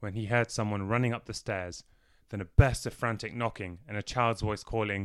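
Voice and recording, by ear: The intonation holds fairly even. Someone reads aloud in a natural voice.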